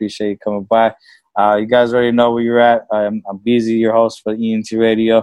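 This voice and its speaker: A man at medium pitch, fairly quick pace and monotone, flat intonation. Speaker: radio and podcast host, record label person, former rapper. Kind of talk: casual interview chat. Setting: video call.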